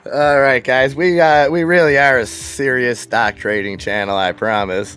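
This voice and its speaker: Man at a medium pitch with lively intonation and a moderate pace, music in the background. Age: 40s. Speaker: live stock trading stream host. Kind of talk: live trading stream chat.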